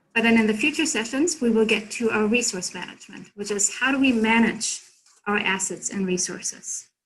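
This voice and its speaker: A woman with a German accent talks at a moderate pace, her pitch fairly high with ordinary variation. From Germany. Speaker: consultant presenter. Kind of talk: workshop presentation.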